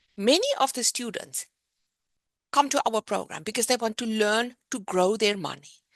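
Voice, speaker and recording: The speaker has a South African accent and a moderate pace. The sound is dry and close, with no echo. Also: woman, fairly high pitch for a woman, ordinary pitch variation. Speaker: business owner presenting a program. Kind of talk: presentation.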